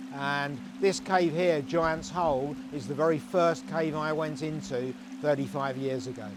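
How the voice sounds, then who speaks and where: Moderate pace amid noticeable background noise and audible room echo. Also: man. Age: 60s. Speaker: caver. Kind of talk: documentary interview.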